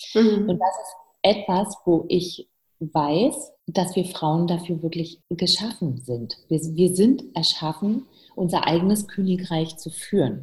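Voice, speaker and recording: A woman speaks at a very slow pace and medium pitch. Her voice is somewhat breathy, with lively intonation. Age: 50s. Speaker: entrepreneur and coach. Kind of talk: interview.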